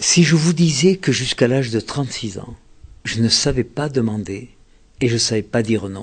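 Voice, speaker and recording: Fairly slow, somewhat breathy speech from a man of medium pitch with ordinary pitch variation. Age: 70s. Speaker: author and relationship communication expert. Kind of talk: interview.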